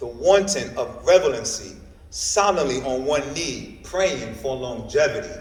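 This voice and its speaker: Noticeable background noise surrounds a man speaking at a very slow pace in an American accent. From New York. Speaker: poet. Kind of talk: spoken word poetry performance. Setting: library reading.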